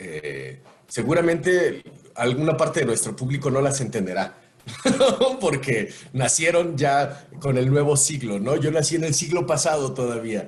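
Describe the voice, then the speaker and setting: A man speaks at a fairly slow pace with a fairly high pitch. Noticeable background noise sits behind him. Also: ordinary pitch variation. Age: 40s. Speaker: voice actor. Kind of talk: podcast interview answer. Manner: casual, conversational.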